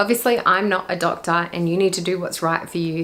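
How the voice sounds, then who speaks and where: A woman's fairly low voice with an Australian accent and ordinary pitch variation, against noticeable background noise. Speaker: lifestyle YouTuber. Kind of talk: casual talk to camera.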